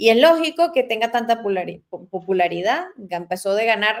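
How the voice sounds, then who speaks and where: A woman speaks with a Venezuelan accent. Her pace is very fast. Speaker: talk show host. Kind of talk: interview on current affairs. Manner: halting, with many fillers.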